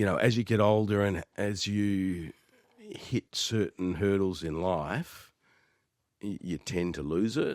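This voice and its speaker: In an Australian accent, a man speaks at a very slow pace with a fairly low pitch and ordinary pitch variation, on a very clean recording with a silent background. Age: 60s. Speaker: real estate agent. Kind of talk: casual interview. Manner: halting.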